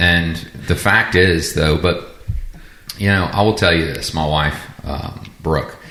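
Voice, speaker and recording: A man's very deep, low voice in a Southern US accent, very slow with long, frequent pauses, fairly even intonation, audible room echo and noticeable background noise. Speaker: rabbi, podcast co-host. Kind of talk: casual discussion.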